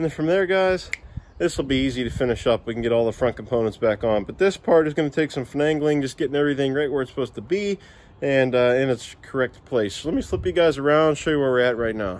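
Speaking fast with lively intonation, a man keeps to a medium pitch.

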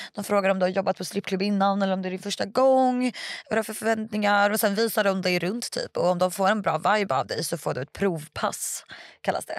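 A woman talks at a fairly quick pace with ordinary pitch variation. The sound is dry with no echo, over a quiet background. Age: 20s. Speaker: stripper and online content creator; podcast guest. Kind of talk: casual interview. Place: studio. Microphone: studio mic.

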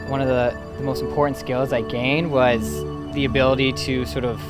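A man speaks at a moderate pace in a dry sound with no echo. Clear music plays in the background. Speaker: entrepreneur, university graduate. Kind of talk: interview answer. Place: open country. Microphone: lapel.

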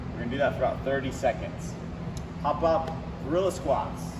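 Ordinary pitch variation over loud background noise. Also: man. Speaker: fitness coach. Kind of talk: tutorial. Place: gym. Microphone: camera far.

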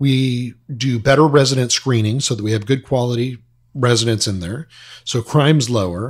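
The speaker has an American accent and sounds somewhat breathy, with ordinary pitch variation. The pace is moderate, on a very clean recording with a silent background. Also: man, medium pitch for a man. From Southern California. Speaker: apartment investor. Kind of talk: interview.

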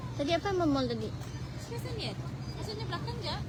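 A woman speaks with crowd noise in the background. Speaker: live-stream video presenter. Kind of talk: live walkabout vlog. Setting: outdoors at a public square at night. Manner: casual, chatty with laughter.

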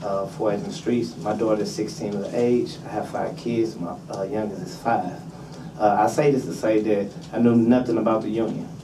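Noticeable background noise accompanies a man with an American accent. He talks at a moderate pace, with a fairly low pitch and ordinary pitch variation. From St. Louis, Missouri. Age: 30s. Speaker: job training trainee. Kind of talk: public testimony. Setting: legislative committee hearing. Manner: halting, hesitant. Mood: earnest, somewhat nervous. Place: meeting room.

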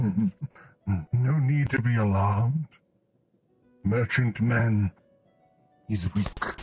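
A man speaks in a put-on character voice at a medium pitch, with very even loudness and a very slow pace. Long, frequent pauses break up his speech, and faint music plays in the background over a dry, close sound with no echo. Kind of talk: roleplay character voice. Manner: third-person speech, wistful, oddly formal.

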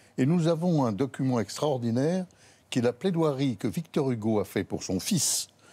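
Here a man talks at a moderate pace with a medium pitch. His tone is dark and mellow. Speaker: lawyer. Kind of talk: TV panel discussion. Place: studio. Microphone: lapel.

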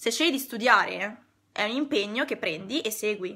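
A woman speaks in an animated tone at a moderate pace. Her pitch varies in an ordinary way against a quiet background. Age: 20s. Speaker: decluttering consultant. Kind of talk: live stream talk to viewers. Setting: online live stream. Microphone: phone near.

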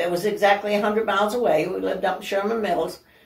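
A woman at a fairly quick pace with fairly even intonation and audible room echo. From northern Maine, Aroostook County; Maine. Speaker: senior living resident; interview guest. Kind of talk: casual interview. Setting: at her home. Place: home room. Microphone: camera far.

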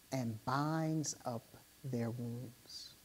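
This woman's pitch is very deep and low, her tone dark and mellow, with ordinary pitch variation. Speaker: preacher. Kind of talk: sermon. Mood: somber, personal grief. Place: church. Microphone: lapel.

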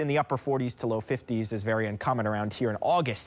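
A man is speaking. His tone is upbeat. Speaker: TV weather forecaster. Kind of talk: TV weather forecast. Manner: fluent, upbeat, brisk. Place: studio. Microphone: lapel.

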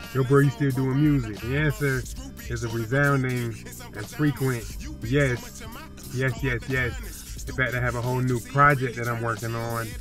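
A man at a moderate pace with fairly even intonation, clear music in the background, and a dry sound with no echo. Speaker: musician vlogger. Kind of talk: casual vlog chat. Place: car. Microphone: phone near.

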